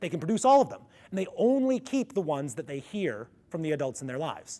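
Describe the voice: A man talks at a fairly quick pace in a resonant voice with a dark, mellow tone.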